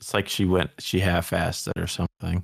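A man talks in a very deep, low voice. The sound is dry and close, with no echo. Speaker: podcast co-host and TV recapper. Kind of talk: casual recap chat. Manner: casual, interjecting.

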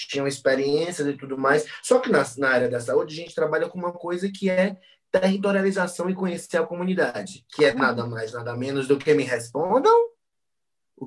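With a plain, everyday voice, this man speaks at a moderate pace, his pitch fairly high and his intonation lively. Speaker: psychologist. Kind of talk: casual chat.

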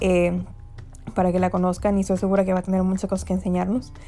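A woman's dark, mellow tone. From Mexico. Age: 20s. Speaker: podcast host, graduate student. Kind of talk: casual monologue podcast. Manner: frequent laughter, filler words.

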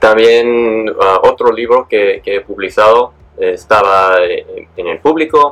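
A man speaking at a very slow pace amid noticeable background noise. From San Diego, California. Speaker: transformational coach and author. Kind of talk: interview. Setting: studio. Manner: halting.

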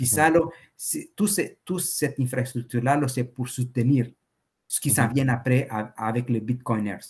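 Medium-pitched male voice with a Spanish accent, somewhat breathy, at a moderate pace with ordinary pitch variation. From El Salvador. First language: Spanish (speaking French). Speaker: entrepreneur and Bitcoin enthusiast. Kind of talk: interview.

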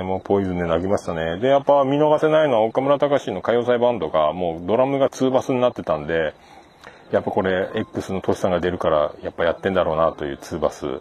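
Over noticeable background noise, a man talks at a very fast pace, his pitch swinging very widely. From Japan, Fukuoka (Hakata). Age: 40s. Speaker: podcast host. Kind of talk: casual solo monologue. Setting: outdoors by a riverbank. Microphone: handheld iPhone / voice recorder.

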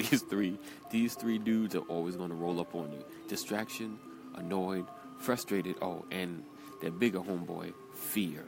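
Music plays in the background as a man with a New York accent speaks at a fairly low pitch with ordinary variation. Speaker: motivational speaker. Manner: energetic, emphatic.

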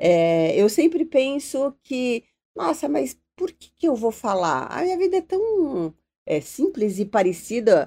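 A woman's dark, mellow tone at a very slow pace, with very wide pitch swings and big swings in loudness. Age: 50s. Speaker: TV journalist. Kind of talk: casual interview chat.

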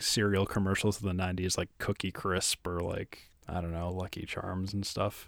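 On a very clean recording with a silent background, a man talks. He has an ordinary speaking voice, fairly low in pitch. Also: dry, close sound with no echo. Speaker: podcast host. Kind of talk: casual banter podcast chat. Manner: joking, self-deprecating.

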